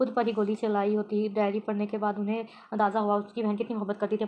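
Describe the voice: Plain reading aloud, nothing more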